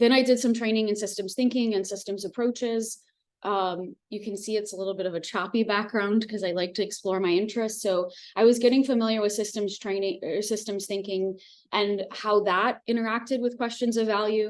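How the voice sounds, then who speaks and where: A woman's normal speaking voice in an American accent, fairly high in pitch, with fairly even intonation and a fairly quick pace. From US. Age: 30s. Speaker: professor. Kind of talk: lecture.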